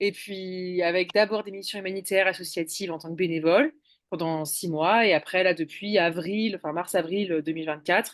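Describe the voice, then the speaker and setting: Against a quiet background, a woman speaks at a moderate pace in an unremarkable speaking voice of medium pitch, with fairly even intonation and big swings in loudness. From eastern France, Ain (between Lyon and Geneva). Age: 30s. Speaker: hitchhiking world traveller. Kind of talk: interview.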